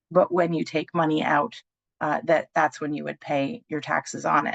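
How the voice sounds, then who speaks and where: A woman talks at a fairly quick pace. The sound is dry and close, with no echo. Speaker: benefits presenter. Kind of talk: webinar presentation. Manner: fast.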